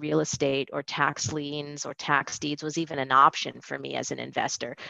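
With a quiet background, a woman speaks in a very deep, low pitch and a bright, sharp tone. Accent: American. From US West Coast, Los Angeles. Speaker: retirement account business owner. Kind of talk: casual interview chat.

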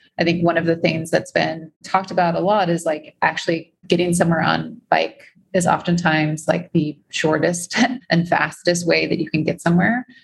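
Her loudness stays very even, and her intonation is monotone and flat. The woman has a fairly low pitch, vocal fry and an American accent. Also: moderate pace. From US Midwest, Chicago. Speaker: bike-share executive and climate investor. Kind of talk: interview with slide presentation.

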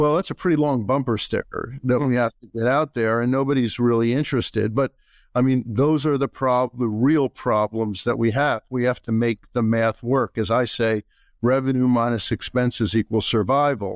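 An unremarkable speaking voice talks at a moderate pace with fairly even intonation. The sound is dry and close with no echo, over a quiet background. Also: man, medium pitch for a man. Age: 60s. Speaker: healthcare industry consultant. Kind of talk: casual interview. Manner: opinionated, outspoken.

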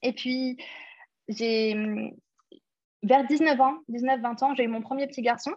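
A somewhat breathy woman talks at a fairly slow pace. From London, England. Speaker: entrepreneur. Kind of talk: interview.

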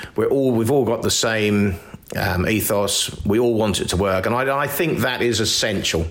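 Recorded with audible room echo and noticeable background noise, a man with a fairly low pitch speaks at a moderate pace with ordinary pitch variation. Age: 50s. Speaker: arable farmer. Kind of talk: interview.

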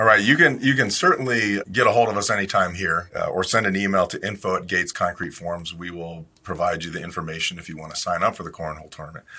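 Bright and sharp in tone, a man's very deep, low voice comes through a very clean recording with a silent background. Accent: American. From Ohio, US Midwest. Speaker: company president. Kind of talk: podcast interview.

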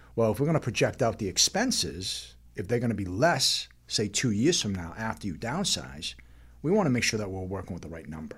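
Speaking at a fairly quick pace, a man with a fairly low, somewhat breathy voice makes very wide pitch swings and big swings in loudness. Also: very clean recording, silent background. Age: 50s. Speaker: financial advisor. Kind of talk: casual chat.

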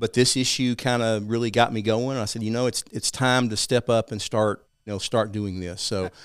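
A man with an East Texas accent speaks at a fairly quick pace with hardly any pauses and fairly even intonation, in a very clean recording with a silent background and a dry, close sound with no echo. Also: medium pitch for a man. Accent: East Texas Southern. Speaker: financial advisor and civic group founder. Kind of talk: interview discussing local policy.

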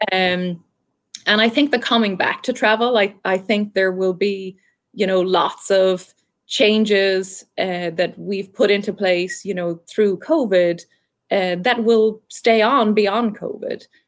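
The woman's pitch is medium and her pace fairly slow, with fairly even intonation. The recording is very clean, with a silent background. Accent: Irish. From Ireland. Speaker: marketing executive. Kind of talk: interview.

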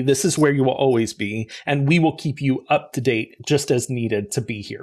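At a fairly quick pace, a man speaks in an unremarkable speaking voice with a fairly high pitch and ordinary pitch variation. The recording is very clean, the background silent. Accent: American. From US South, rural Arkansas. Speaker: corporate learning and talent development expert. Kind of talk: interview.

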